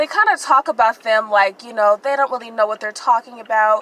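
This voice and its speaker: Noticeable background noise runs under a woman speaking at a fairly high pitch. The sound is dry and close, with no echo. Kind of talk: casual commentary to camera. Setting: in a car. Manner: stuttering, hesitant.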